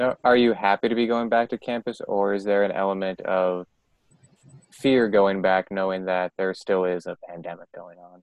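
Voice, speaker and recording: A man with a normal speaking voice talks in a fairly low pitch with fairly even intonation. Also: moderate pace. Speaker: podcast interviewer. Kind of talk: casual interview.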